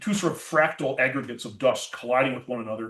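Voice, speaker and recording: Somewhat breathy, a man with an American accent speaks at a very fast pace with lively intonation. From Minnesota. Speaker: planetary scientist. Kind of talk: public science lecture.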